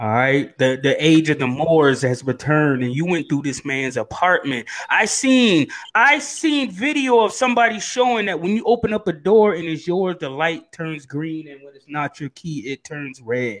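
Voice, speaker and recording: The speech moves at a moderate pace in an animated tone, with hardly any pauses. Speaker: podcast host. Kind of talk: casual banter, comedic talk show. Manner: animated, loud, comedic.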